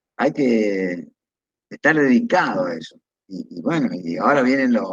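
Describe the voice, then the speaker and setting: A man with an Argentine accent and very wide pitch swings, in a dry, close sound with no echo. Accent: Argentine Spanish (voseo). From Argentina, Entre Ríos. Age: 70s. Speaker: retired pediatric surgeon. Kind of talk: interview. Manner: hesitant, with repetitions.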